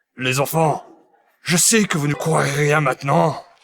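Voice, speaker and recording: The voice is a raspy, put-on character voice. It moves at a moderate pace. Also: man, fairly high pitch for a man. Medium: fan dub. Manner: sly, conspiratorial.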